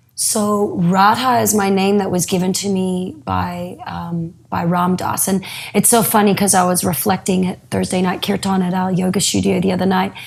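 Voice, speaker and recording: A woman talking with hardly any pauses amid noticeable background noise. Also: medium pitch for a woman, moderate pace. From Australia. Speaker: yoga teacher. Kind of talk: interview.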